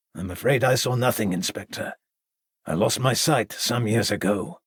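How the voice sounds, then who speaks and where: Using a put-on character voice, a man speaks at a moderate pace with a raspy sound at medium pitch. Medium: read story. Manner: courteous, formal.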